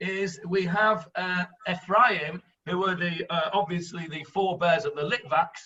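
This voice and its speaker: A man with a strong northern English accent speaks high-pitched at a fairly slow pace, with fairly even intonation. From northern England. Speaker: rabbi and Bible teacher. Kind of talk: online Bible class discussion. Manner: hesitant, many fillers.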